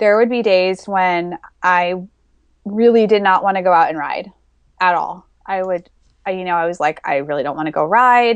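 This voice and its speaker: The woman's pitch is medium, with ordinary variation, and her pace is moderate. Long pauses come often in her speech. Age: 30s. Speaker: fitness author and athlete. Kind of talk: casual interview.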